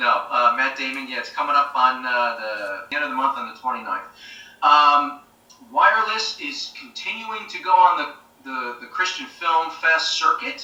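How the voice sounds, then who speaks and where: Over music in the background, a man with an American accent talks at a moderate pace with big swings in loudness and audible room echo. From New Jersey (East Hanover). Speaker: actor and military veteran. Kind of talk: casual interview chat. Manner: hesitant, many fillers.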